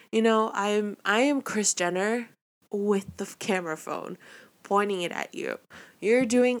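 On a very clean recording with a silent background, a woman talks at a fairly high pitch with ordinary pitch variation. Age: 20s. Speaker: solo podcast host. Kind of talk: casual monologue. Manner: rambling, many fillers.

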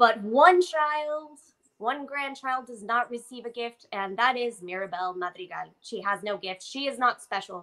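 Speaking at a fairly slow pace, a woman with a fairly high pitch and a bright, sharp tone uses lively intonation and big swings in loudness. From Mexico. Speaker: illustrator. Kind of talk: casual chat.

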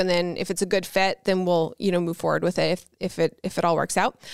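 In a Newfoundland accent, a woman speaks at a fairly quick pace and a medium pitch. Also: dry, close sound with no echo, very clean recording, silent background. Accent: Newfoundland Canadian. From Newfoundland, Canada (St. John's). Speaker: YouTuber. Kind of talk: casual chat.

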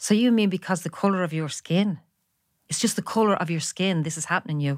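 Someone with a Dublin accent talks at a very fast pace with ordinary pitch variation. The sound is dry and close, with no echo. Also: woman. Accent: Dublin Irish. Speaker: former striking shop office worker. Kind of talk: interview, personal testimony.

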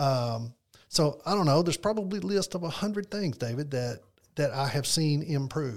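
Speaking at a moderate pace, a man with a fairly high pitch sounds somewhat breathy and uses lively intonation. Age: 60s. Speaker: financial advisor. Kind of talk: casual chat.

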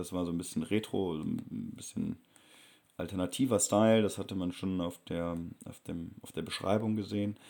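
The man's voice is dark and mellow, fairly low in pitch. He talks at a moderate pace with fairly even intonation. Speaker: travel vlogger. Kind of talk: travel vlog narration.

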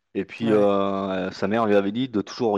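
Flat and monotone, a man speaks at a fairly low pitch and a fairly slow pace. The sound is dry and close, without echo. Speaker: basketball podcast panelist. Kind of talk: casual chat. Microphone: connection dropped.

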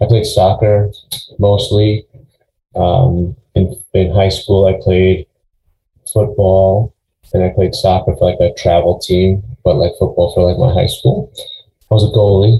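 A fairly slow, somewhat breathy man with an American accent, fairly low pitch, a dark, mellow tone, fairly even intonation, very even loudness and long, frequent pauses. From Long Island, New York. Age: 40s. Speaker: gym owner. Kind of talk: interview.

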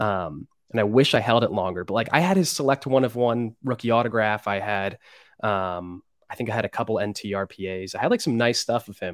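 A man speaks with an American accent. His pitch is fairly low, with ordinary variation. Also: fairly quick pace. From central Pennsylvania. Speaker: sports card collector and social media personality. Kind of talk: casual chat.

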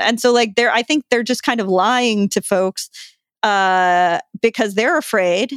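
In a very clean recording with a silent background and a dry, close sound with no echo, a woman with a fairly high pitch speaks in a plain, everyday voice at a fairly slow pace with ordinary pitch variation. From Long Island, New York. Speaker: food writer and author. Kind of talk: interview. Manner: casual, many fillers.

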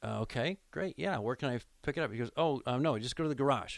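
A man with an American accent, fairly high pitch, vocal fry and lively intonation, in a very clean recording with a silent background. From Nebraska, Lincoln. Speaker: radio play-by-play announcer. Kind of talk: casual interview chat, storytelling. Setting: studio.

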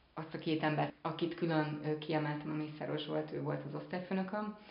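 The speech runs at a moderate pace. There is noticeable background noise and audible room echo. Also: woman. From Szeged, southern Hungary. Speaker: actress. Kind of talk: interview.

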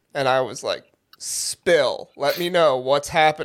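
On a very clean recording with a silent background, a man speaks at a fairly slow pace in a high pitch. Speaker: podcast co-host.

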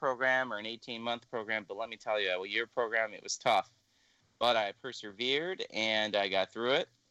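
A man talks at a moderate pace with an American accent and ordinary pitch variation. It's a plain, everyday voice. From Illinois, US Midwest. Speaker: blind cane travel instructor. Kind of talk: interview.

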